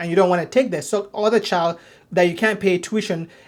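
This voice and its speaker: In a non-native accent, the voice moves at a fairly quick pace. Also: very clean recording, silent background. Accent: foreign accent, noticeable. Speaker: ministry teacher. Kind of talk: lecture. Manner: halting, many repetitions and restarts.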